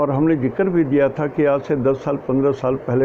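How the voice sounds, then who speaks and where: Through noticeable background noise, a man speaks at a medium pitch with fairly even intonation. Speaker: astrologer. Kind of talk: casual talk on astrology. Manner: soft, low volume.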